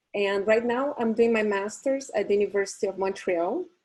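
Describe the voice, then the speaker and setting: A woman's voice in a Portuguese accent, medium-pitched, with a dark, mellow tone. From Brazil. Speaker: psychologist and event host. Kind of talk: webinar hosting.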